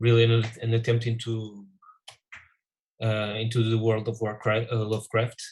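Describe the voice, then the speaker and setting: A man talks with a Portuguese accent in a flat, monotone delivery. His voice is somewhat breathy, with long, frequent pauses. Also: medium pitch for a man, moderate pace. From Portugal. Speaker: filmmaker. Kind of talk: panel discussion. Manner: hesitant, many fillers.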